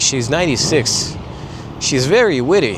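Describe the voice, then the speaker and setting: Noticeable background noise sits behind a man with a Russian accent. He speaks fairly slowly in a fairly high voice. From Russia (Ufa). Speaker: vlogger. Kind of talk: casual talk to camera. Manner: hesitant, searching for words.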